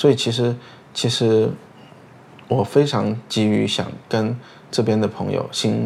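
A man speaks at a fairly low pitch. Noticeable background noise can be heard. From Chengdu, China. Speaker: podcast host. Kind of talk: casual chat.

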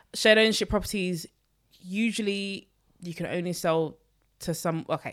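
A woman talks in an East London accent on a very clean recording with a silent background. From London, Newham. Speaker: personal finance creator. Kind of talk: casual chat.

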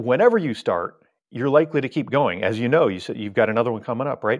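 A man's medium-pitched voice, with ordinary pitch variation, comes through over a quiet background. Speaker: cruise expert guest. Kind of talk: casual interview. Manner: fast talker.

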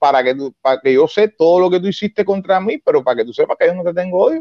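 A high-pitched man's voice at a very fast pace, in a dry, close sound with no echo. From Cuba. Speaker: Cuban opposition activist and former soldier. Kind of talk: interview.

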